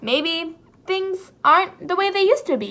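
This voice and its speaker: In a put-on character voice, a woman sounds squeaky and cheerful, pitched extremely high and speaking at a moderate pace. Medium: read story. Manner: cheerful, breezy.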